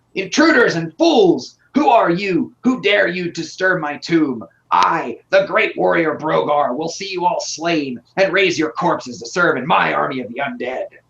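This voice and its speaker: This is a put-on character voice, shrill and at a middle pitch. It moves at a moderate pace with hardly any pauses. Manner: menacing, grandiose.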